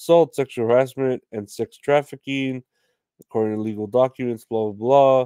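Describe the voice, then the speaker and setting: Against a quiet background with a dry sound and no echo, a man speaks at a moderate pace with a dark, mellow tone and fairly even intonation. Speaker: podcast host. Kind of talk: casual comedy podcast commentary. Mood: casual, joking, profane.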